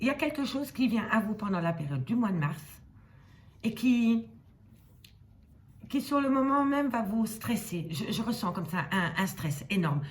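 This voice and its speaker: Mumbling in a put-on character voice, a woman speaks at a fairly high pitch and a moderate pace, with very wide pitch swings and long, frequent pauses. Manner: mumbling words.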